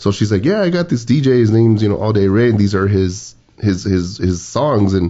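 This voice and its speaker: A man with a South Texas accent has a fairly low pitch and an animated tone. His loudness stays very even, with ordinary pitch variation. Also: fairly quick pace. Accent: South Texas border (Valley). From Texas border, Laredo. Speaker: podcast co-host, DJ. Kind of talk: casual chat. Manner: animated storytelling.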